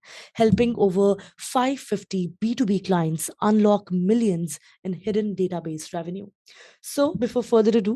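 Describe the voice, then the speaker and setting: A woman talks at a moderate pace in an ordinary speaking voice, her pitch medium with ordinary variation. Her loudness swings widely, and the sound is dry and close with no echo. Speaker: podcast host. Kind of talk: podcast interview host.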